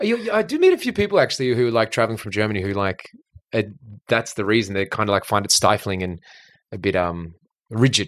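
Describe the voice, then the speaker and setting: Though he speaks at a very fast pace, the man leaves long, frequent pauses, on a very clean recording with a silent background. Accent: Australian. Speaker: podcast host and comedian. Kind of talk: casual chat.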